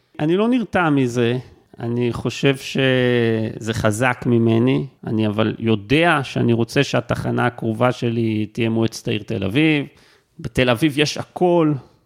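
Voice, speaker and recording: Talking at a very slow pace, a man has a medium pitch with ordinary pitch variation. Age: 40s. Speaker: university lecturer. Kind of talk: interview conversation. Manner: halting, repeats words.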